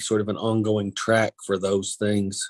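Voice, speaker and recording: In a strong Kentucky accent, a man talks at a moderate pace and medium pitch, his intonation monotone and flat, the sound dry and close with no echo. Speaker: county attorney. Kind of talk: public meeting discussion. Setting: teleconference meeting.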